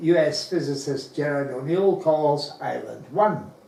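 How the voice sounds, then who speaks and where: With audible room echo and noticeable background noise, a man speaks at a fairly slow pace in a fairly high pitch with ordinary pitch variation. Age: 80s+. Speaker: space enthusiast speaker. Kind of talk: slide presentation talk.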